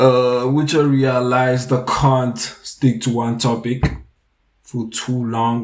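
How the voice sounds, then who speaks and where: At a medium pitch, a man speaks with fairly even intonation. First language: French. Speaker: young entrepreneur vlogger. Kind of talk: casual vlog monologue. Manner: halting, many fillers.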